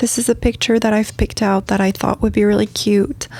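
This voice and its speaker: A woman's fairly high voice, relaxed in tone, with monotone, flat intonation and a French accent. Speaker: craft video creator. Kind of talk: tutorial. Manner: relaxed with many fillers.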